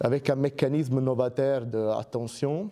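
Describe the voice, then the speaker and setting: The voice has a dark, mellow tone and a fairly even intonation. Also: man. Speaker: research scientist. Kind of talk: lecture. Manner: halting, many fillers and repetitions.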